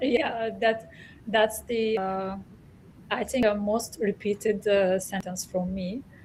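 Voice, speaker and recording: A woman's somewhat breathy, medium-pitched voice at a very slow pace, with fairly even intonation. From Turkey. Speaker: academic, organizational psychology. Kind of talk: panel discussion. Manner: hesitant, many fillers.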